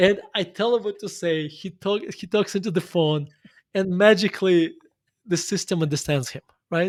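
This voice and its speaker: A man with a Russian accent speaks in a high voice. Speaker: investor and author. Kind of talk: interview conversation.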